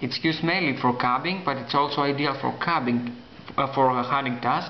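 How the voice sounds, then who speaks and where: A man with a non-native accent talks at a fairly high pitch and a moderate pace, with fairly even intonation over noticeable background noise. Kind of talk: casual talk to camera.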